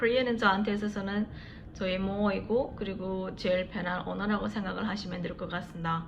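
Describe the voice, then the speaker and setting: A woman at a medium pitch speaks at a very fast pace with fairly even intonation. Audible room echo and noticeable background noise accompany her. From China, Yanbian (ethnic Korean). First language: Korean (Yanbian dialect). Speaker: vlogger. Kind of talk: casual vlog talk to camera.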